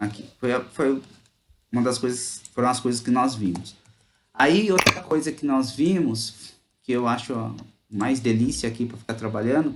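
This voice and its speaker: A man speaks with a São Paulo interior accent at a moderate pace, with ordinary pitch variation. He leaves long, frequent pauses. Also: medium pitch for a man. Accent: caipira (rural São Paulo). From interior of São Paulo state, Brazil. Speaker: teacher. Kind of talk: online class. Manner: casual, conversational.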